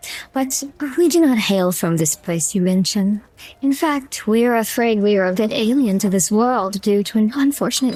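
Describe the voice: Someone reads aloud in a plain way.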